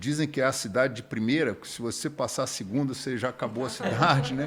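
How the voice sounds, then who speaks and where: A man at a very fast pace, medium in pitch, with ordinary pitch variation and big swings in loudness. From Rio de Janeiro, Brazil, with Minas Gerais parents and schooling. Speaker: church member, former military student. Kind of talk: casual interview chat.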